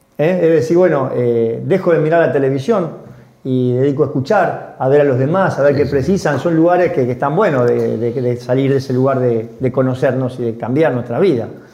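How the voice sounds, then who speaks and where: Noticeable background noise sits behind a man speaking at a fairly quick pace. His voice is fairly high, with ordinary pitch variation. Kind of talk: casual chat.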